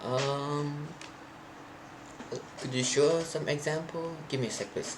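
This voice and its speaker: A man speaks with a fairly high pitch. Audible room echo and noticeable background noise are present. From Thailand. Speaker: programming streamer. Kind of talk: live coding stream.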